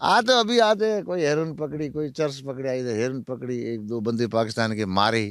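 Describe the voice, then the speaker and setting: A man with a Marwari accent speaks at a moderate pace, barely pausing. His medium pitch moves through very wide swings. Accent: Marwari-tinged Hindi. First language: Marwari (speaking Hindi). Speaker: former prisoner in Pakistan. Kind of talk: interview.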